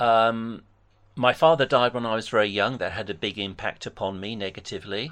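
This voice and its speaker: With an English accent, the speaker moves at a fairly quick pace. Pitch variation is ordinary, and the background is quiet. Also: man, medium pitch for a man. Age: 60s. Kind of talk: debate phone conversation; personal testimony.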